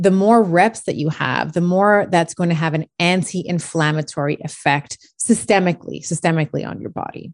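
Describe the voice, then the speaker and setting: A woman's plain, everyday voice at a fairly low pitch, with ordinary pitch variation and big swings in loudness. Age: 40s. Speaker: chiropractor. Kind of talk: interview.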